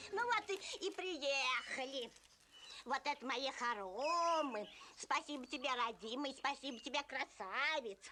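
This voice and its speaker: A female-sounding put-on character voice speaks at a high pitch and a moderate pace. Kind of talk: fairy-tale film acting. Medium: short film. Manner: folksy, drawn-out village speech.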